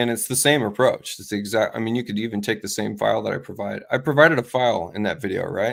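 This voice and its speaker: A man talks at a very fast pace with hardly any pauses and vocal fry. His medium pitch has ordinary variation on a very clean recording with a silent background. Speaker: software design trainer. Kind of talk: casual panel chat.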